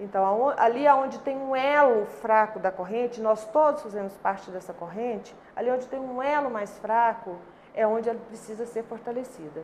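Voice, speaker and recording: Noticeable background noise accompanies a woman with a fairly high pitch. She moves at a moderate pace with ordinary pitch variation. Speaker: labour court judge. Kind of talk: interview answer.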